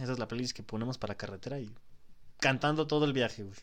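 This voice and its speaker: A man with a Mexican accent at a very fast pace. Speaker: podcast host. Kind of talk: casual chat.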